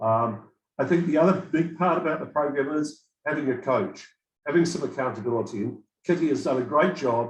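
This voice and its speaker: A man's somewhat breathy voice, fairly high in pitch, at a fairly quick pace with ordinary pitch variation. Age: 60s. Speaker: program participant giving testimonial. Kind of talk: testimony.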